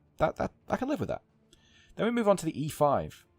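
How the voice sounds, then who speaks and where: A man talks at a very fast pace in a dry, close sound with no echo. Music plays in the background. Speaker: gaming podcaster. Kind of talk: casual podcast commentary. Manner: some stuttering and pauses.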